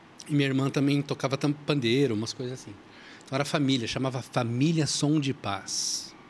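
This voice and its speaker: A man speaks at a moderate pace in an ordinary speaking voice, with a medium pitch and fairly even intonation, on a very clean recording with a silent background. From São Paulo, Brazil. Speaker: church musician and author. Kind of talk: casual chat.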